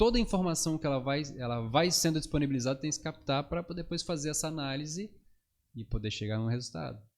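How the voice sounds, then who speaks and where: Lively intonation drives very fast speech on a very clean recording with a silent background. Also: man, fairly high pitch for a man. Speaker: psychologist. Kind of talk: podcast interview.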